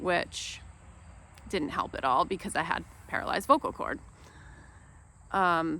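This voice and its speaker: A woman's fairly low voice with lively intonation and long, frequent pauses. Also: fairly slow pace. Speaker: video blogger. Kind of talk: unscripted personal talk. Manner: soft-spoken.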